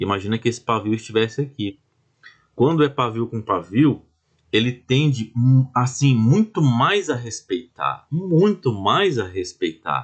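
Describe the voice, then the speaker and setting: Somewhat breathy, a man at medium pitch speaks at a fairly slow pace with lively intonation. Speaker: trading instructor. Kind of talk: tutorial. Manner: slow, deliberate.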